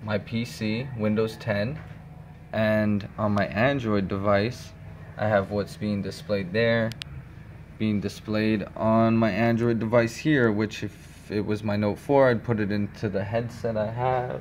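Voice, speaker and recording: A man speaks in an unremarkable speaking voice, fairly low in pitch, at a fairly slow pace. His intonation stays fairly even over light background noise. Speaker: hobbyist demonstrating software. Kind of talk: tutorial. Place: home room. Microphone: phone near.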